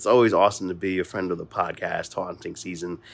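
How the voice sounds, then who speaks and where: With an American accent, a man speaks in an ordinary speaking voice at a fairly low pitch and a moderate pace, on a very clean recording with a silent background. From Mount Vernon, New York. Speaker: podcast host. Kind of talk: voice message.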